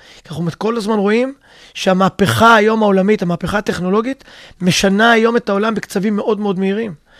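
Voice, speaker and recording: A man talks at a very fast pace with a high pitch. His intonation stays fairly even. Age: 50s. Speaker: physical education teacher and fitness coach. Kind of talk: interview.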